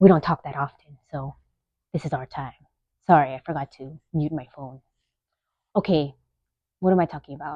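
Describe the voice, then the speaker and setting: A woman with an American accent speaks at a moderate pace in a very deep, low pitch, her dark, mellow tone held to fairly even intonation. Her loudness swings widely, long pauses come often, and the sound is dry and close with no echo. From US West Coast, East Side San Jose, California. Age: 30s. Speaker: podcast host, nurse. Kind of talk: casual monologue. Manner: rambling, conversational, self-interrupting.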